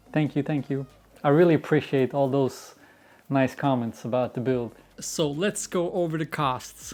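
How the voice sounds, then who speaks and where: Moderate pace in a Swedish accent. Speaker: YouTuber, car builder. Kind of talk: casual Q&A video.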